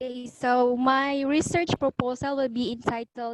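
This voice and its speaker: A woman's high-pitched voice with fairly even intonation and a dry, close sound with no echo. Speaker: postgraduate student. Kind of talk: research proposal presentation. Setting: video call. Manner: quiet.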